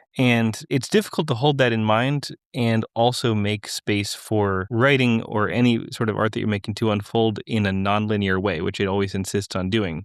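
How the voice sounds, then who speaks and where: This man has a normal speaking voice, fairly low in pitch with ordinary variation. He talks at a moderate pace with hardly any pauses. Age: 30s. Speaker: podcast host. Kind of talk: podcast interview.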